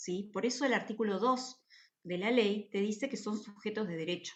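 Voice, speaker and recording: A woman speaks in a fairly high, somewhat breathy voice. Her pace is fairly slow. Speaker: university lecturer. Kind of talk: lecture.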